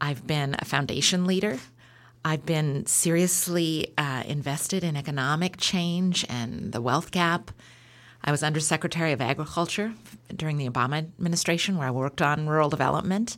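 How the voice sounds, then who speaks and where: On a very clean recording with a silent background, a woman talks fairly quickly in a very deep, low voice with ordinary pitch variation. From Oregon, Beaverton area near Portland. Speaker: foundation executive director. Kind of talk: interview.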